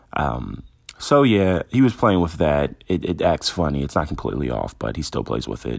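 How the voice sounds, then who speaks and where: A man's very deep, low voice with vocal fry and very wide pitch swings, at a moderate pace. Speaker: podcast host. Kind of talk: casual monologue. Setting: lying in bed at home. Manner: loose, unscripted.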